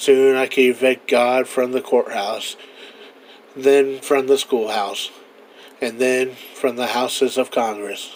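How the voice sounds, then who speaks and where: Speaking at a very slow pace, a man with a medium-pitched voice keeps a flat, monotone delivery over noticeable background noise. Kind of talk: old-time radio commentary monologue.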